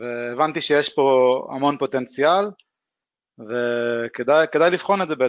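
The man talks at a fairly slow pace with long, frequent pauses. His loudness stays very even and his pitch varies in an ordinary way. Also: medium pitch for a man. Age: 30s. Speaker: engineer and investor. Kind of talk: interview.

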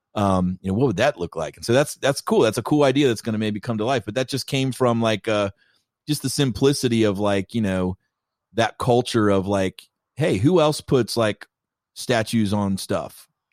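Recorded very cleanly with a silent background and a dry, close sound with no echo, a man with an American accent and an unremarkable speaking voice talks at a moderate pace and medium pitch with ordinary pitch variation. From Kentucky, US. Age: 40s. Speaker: creative director and filmmaker. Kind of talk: casual chat.

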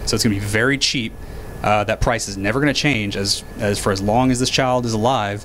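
A man talking at a fairly quick pace, fairly even in intonation, over noticeable background noise. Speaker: financial advisor. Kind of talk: casual interview.

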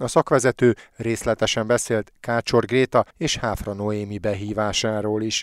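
A man with a normal speaking voice and fairly low pitch talks at a fairly slow pace with hardly any pauses and fairly even intonation. The sound is dry and close with no echo, in a very clean recording with a silent background. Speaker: sports radio host. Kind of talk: news reading. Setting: studio. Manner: formal.

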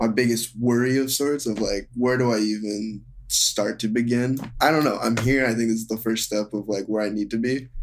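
A man's medium-pitched voice at a moderate pace, monotone and flat, with hardly any pauses. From Seattle area, US Pacific Northwest. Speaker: therapy client. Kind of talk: therapy session.

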